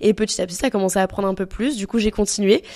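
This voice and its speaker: The recording is very clean with a silent background, and the woman's medium-pitched voice shows ordinary pitch variation. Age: 20s. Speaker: entrepreneur and content creator. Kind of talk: podcast interview.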